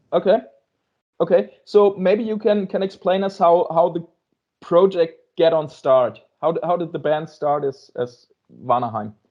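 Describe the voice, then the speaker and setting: With a German accent, a man with a high voice speaks at a fairly slow pace, leaving long, frequent pauses. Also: lively intonation. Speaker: music interviewer. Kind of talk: interview. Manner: halting.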